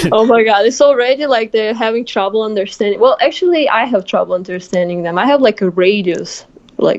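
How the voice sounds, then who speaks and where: In a Russian accent, a woman talks at a fairly quick pace with a fairly high pitch and lively intonation. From Moscow, Russia. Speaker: student pilot and tennis player. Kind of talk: casual chat.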